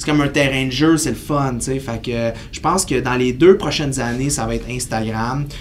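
Hardly pausing, a man with a Quebec accent talks at a moderate pace and medium pitch with fairly even intonation, over light background noise. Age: 30s. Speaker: kinesiologist and fitness entrepreneur; podcast guest. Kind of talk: casual interview. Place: studio.

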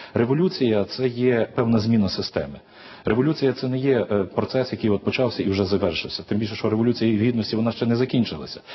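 A very fast-talking man with ordinary pitch variation. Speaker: guest. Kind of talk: TV interview. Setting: studio. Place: studio. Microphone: lapel.

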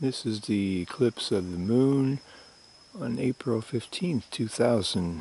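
Soft-spoken and dark, mellow in tone, a man talks very slowly with lively intonation, the sound dry with no echo. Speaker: publisher and editor. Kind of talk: ASMR nature commentary. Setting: outdoors. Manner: soft-spoken, slow. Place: open country.

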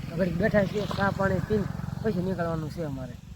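Noticeable noise sits behind a man's voice. He speaks at a high pitch with fairly even intonation. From Gujarat, Bhavnagar district. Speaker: vlogger. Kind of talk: travel vlog narration. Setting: outdoors, walking on pilgrimage.

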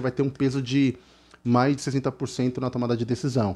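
The tone is dark and mellow. This man talks at a moderate pace. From Brazil. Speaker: gaming youtuber. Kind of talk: casual explainer video. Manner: halting, filler-heavy. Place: home room. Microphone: headset.

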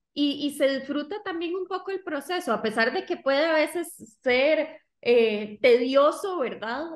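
Speaking at a high pitch, a woman uses lively intonation at a fairly slow pace. The background is quiet. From Costa Rica. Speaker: digital marketing agency co-founder. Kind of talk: interview. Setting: video call. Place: home room. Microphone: video call.

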